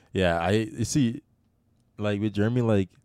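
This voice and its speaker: This man's voice has a dark, mellow tone, recorded dry and close with no echo. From Jamaica. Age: 20s. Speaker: social media content creator and student. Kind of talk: casual chat.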